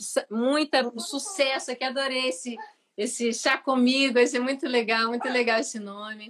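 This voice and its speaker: Her voice sits high in pitch with ordinary pitch variation. The woman keeps a moderate pace. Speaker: singer. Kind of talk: casual chat.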